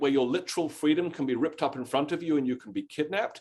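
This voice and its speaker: With a British accent, a man talks at a fairly high pitch. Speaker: history professor. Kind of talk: lecture-style Q&A answer.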